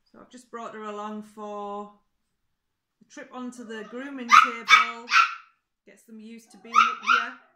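Over noticeable background noise, a woman with a bright, sharp tone speaks fairly slowly with ordinary pitch variation. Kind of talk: casual demonstration chat. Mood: warm, gentle. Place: home room. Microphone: phone near.

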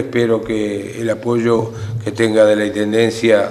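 The voice belongs to a man. He goes along at a fairly slow pace. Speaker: local mayor. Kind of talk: meeting statement. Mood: aggrieved, earnest. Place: meeting room.

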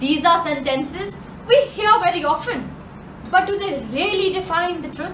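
A woman speaks with lively intonation. Her voice carries audible room echo over light background noise. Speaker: slam poet. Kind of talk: slam poetry performance. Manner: sarcastic. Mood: sarcastic, passionate. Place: home room. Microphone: camera far.

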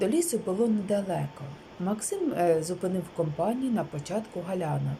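The reading sounds natural, and its intonation is lively.

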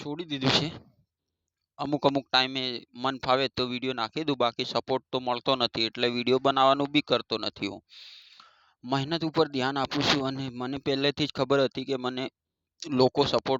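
In a monotone, flat intonation, a man talks at a medium pitch. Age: 30s. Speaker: YouTuber and manual labourer. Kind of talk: motivational vlog monologue. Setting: sitting by a road, waiting. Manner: halting.

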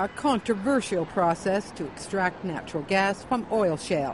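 At a moderate pace, the voice has a dry sound with no echo and faint music in the background. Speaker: news reporter. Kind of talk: news narration.

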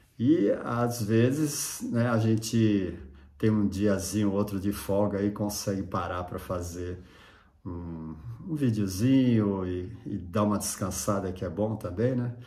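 In a room with audible echo, a man talks in a relaxed tone at a fairly slow pace, his fairly low pitch showing ordinary variation. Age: 60s. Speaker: surf photographer and YouTuber. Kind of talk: casual vlog monologue. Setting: at home. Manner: relaxed, with many fillers and hesitations.

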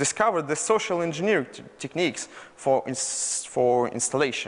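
A man in a Russian accent talks at a fairly quick pace with lively intonation. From Russia, Moscow. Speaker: malware researcher. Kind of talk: conference talk. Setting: stage with audience. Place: hall.

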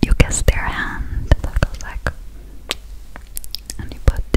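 The speech is whispered and very slow. It comes from a woman. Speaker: ASMR content creator. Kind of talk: casual ASMR talk to camera, English. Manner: whispered, soft, close to the microphone. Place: home room. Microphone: studio mic.

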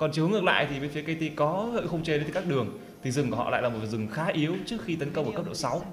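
Over noticeable background noise, a man talks very fast with a fairly high pitch and lively intonation. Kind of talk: esports commentary. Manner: fluent, lively play-by-play.

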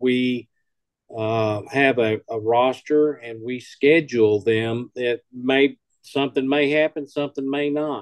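A man speaks at a very slow pace with fairly even intonation, the sound dry with no echo and the background quiet. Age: old. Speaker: emergency communications presenter; amateur radio club member. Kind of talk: presentation. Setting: video call. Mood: relaxed, conversational. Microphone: webcam.

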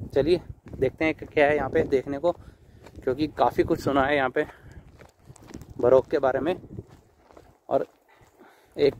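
A man speaks at a fairly slow pace with long, frequent pauses, his voice dry with no echo over light background noise. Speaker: travel vlogger. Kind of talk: casual vlog chat. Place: open country. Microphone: phone near.

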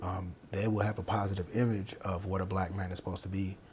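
Speaking at a very fast pace with an American accent, a man with a very deep, low pitch sounds somewhat breathy and keeps his intonation monotone and flat. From Minnesota. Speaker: elementary school teacher. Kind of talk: interview.

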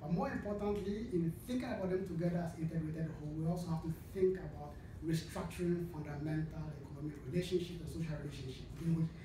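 Through audible room echo and noticeable background noise, the speaker talks at a fairly quick pace and keeps the intonation fairly even. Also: man. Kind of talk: lecture. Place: meeting room. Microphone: podium.

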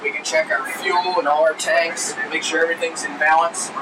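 Noticeable background noise accompanies speech at a moderate pace, the intonation fairly even. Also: man. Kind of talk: tour guide explanation. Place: plane.

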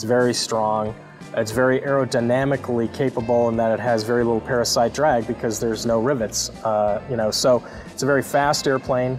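A man at a fairly quick pace, monotone and flat, with clear music in the background. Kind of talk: interview answer.

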